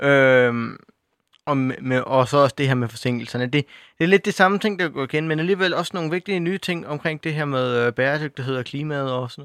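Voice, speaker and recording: A man at a fairly high pitch and fairly quick pace, with ordinary pitch variation and big swings in loudness, on a very clean recording with a silent background. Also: dry, close sound with no echo. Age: young. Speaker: youth panel member, student. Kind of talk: radio panel discussion. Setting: studio. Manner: halting, many fillers and repetitions.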